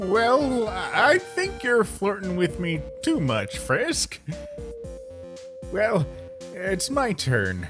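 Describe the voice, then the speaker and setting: Clear music plays behind a man who uses a put-on character voice at a very slow pace. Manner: relaxed, teasing.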